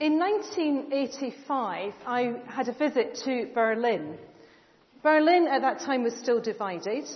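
With noticeable background noise behind her, a woman talks very slowly in a high pitch with very wide pitch swings. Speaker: church preacher. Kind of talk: sermon. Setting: church.

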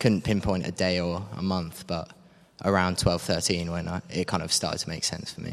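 At a fairly quick pace, a man speaks in a monotone, flat delivery with a very deep, low pitch. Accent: southern English. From Cambridge, England. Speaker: gap year volunteer. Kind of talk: interview. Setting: church.

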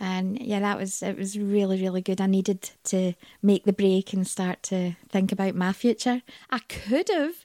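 A woman with a Scottish accent, medium-pitched and dark, mellow in tone, at a moderate pace with fairly even intonation, in a dry, close sound with no echo on a very clean recording with a silent background. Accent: Scottish, Glaswegian-leaning. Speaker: interview guest. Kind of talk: casual interview chat.

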